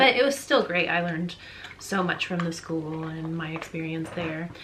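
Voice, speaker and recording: A fairly low-pitched woman speaks with an American accent, with audible room echo and noticeable background noise. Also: ordinary pitch variation, moderate pace. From Colorado, US. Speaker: photographer. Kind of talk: casual chat.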